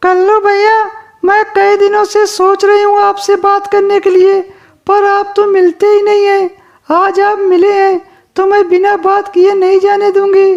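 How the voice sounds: In a cartoonish character voice, the speaker delivers an extremely high pitch in a monotone, flat intonation at a moderate pace.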